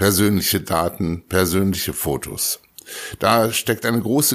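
A plain, everyday voice from a man at a fairly low pitch and fairly slow pace, on a very clean recording with a silent background. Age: 60s. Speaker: school principal. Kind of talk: interview.

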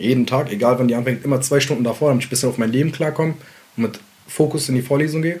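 Amid noticeable background noise, a man at a medium pitch speaks very fast with fairly even intonation. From Mainz, Germany (immigrant neighbourhood, Iraqi family). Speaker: rapper. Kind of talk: casual interview.

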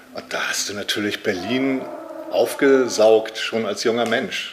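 A man speaks over noticeable background noise. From northern Germany, Lübeck. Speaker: author and publisher. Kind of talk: interview. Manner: halting, frequent filler sounds.

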